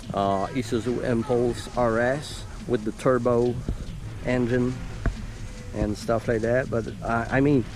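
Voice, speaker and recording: A man talks at medium pitch and a fairly slow pace, with long, frequent pauses and very even loudness. Noticeable background noise runs underneath. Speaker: car enthusiast YouTuber. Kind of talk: casual walkaround chat. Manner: halting.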